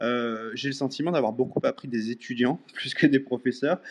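A man at a moderate pace with lively intonation. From France. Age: 40s. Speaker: digital artist. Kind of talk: interview. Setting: live audio chat room, remote.

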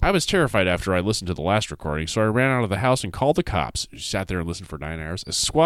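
The intonation here is lively. The words are read aloud in a natural voice.

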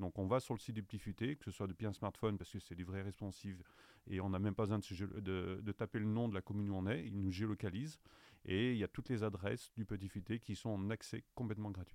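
Over a very clean recording with a silent background, a man speaks at a very fast pace. His fairly low voice has a dark, mellow tone and fairly even intonation. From France, Saint-Étienne. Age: 50s. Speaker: travel guide publisher sales director. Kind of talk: interview.

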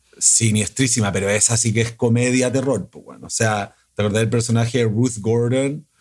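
An unremarkable speaking voice from a man at medium pitch, with fairly even intonation, hardly any pauses and big swings in loudness. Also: moderate pace. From Chile. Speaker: film director. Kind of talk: casual conversation.

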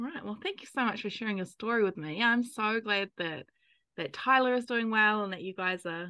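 A woman with a New Zealand accent, fairly high pitch, bright and sharp tone, ordinary pitch variation and moderate pace, against a quiet background. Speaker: podcast host, NICU parent. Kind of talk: casual interview; scripted narration.

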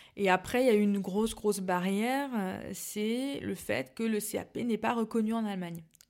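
In a very clean recording with a silent background, a woman with an unremarkable speaking voice talks at a moderate pace, her medium pitch varying in an ordinary way. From Alsace, France (Mulhouse). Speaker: pastry business founder. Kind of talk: interview.

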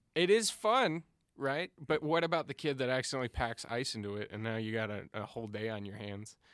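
With an American accent and a normal speaking voice, a man talks at a fairly quick pace, medium pitch and lively intonation. The recording is very clean with a silent background and a dry, close sound with no echo. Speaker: podcast co-host. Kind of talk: casual chat. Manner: joking, playful.

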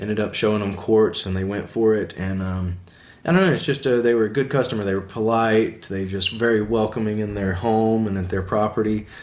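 A man with an Alabama accent, fairly low in pitch, fairly quick, with fairly even intonation. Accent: Southern US (Alabama). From US South, Alabama. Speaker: epoxy floor installer. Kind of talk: casual interview.

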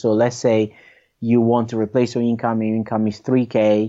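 A man speaks with a non-native accent. His pitch is medium and his pace moderate. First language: not English. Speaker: property investor. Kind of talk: interview. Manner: halting.

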